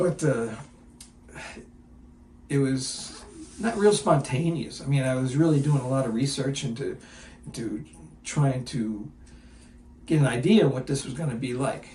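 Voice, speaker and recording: A man's somewhat breathy, medium-pitched voice with a dark, mellow tone, ordinary pitch variation, a moderate pace and long, frequent pauses. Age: 70s. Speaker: firefighter. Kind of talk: interview answer. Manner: candid, casual.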